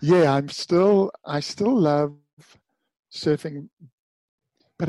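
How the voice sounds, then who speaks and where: The speech moves at a very slow pace with ordinary pitch variation in a dry, close sound with no echo. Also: man. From South Africa, Durban. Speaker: retired pro surfer and author. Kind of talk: interview conversation. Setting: remote call from home.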